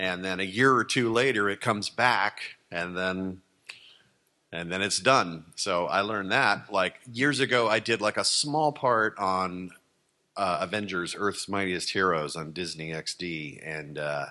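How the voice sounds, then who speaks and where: A man with an American accent speaks at a very deep, low pitch in a bright, sharp tone. His pace is fairly slow and his pitch variation ordinary. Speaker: voice actor. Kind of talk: panel talk answering questions about voice acting. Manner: conversational, animated, enthusiastic.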